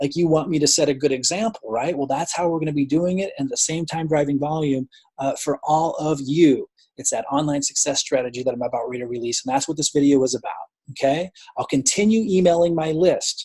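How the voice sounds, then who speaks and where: A man's somewhat breathy, dark, mellow voice moves at a very fast pace, with a dry, close sound and no echo. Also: fairly high pitch for a man, ordinary pitch variation. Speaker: network marketing team leader. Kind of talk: team update video. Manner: casual, filler words.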